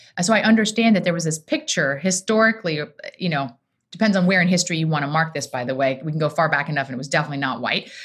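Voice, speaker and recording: A woman with an American accent talks at a very fast pace. Her voice is very deep and low, somewhat breathy, with lively intonation. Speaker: rabbi. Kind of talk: casual chat.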